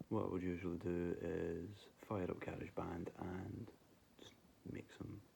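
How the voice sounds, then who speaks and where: Dark, mellow in tone, the voice moves at a moderate pace in a monotone, flat intonation with long, frequent pauses. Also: man, very deep, low pitch for a man. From Scotland. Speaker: vlogger telling paranormal stories. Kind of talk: casual personal storytelling.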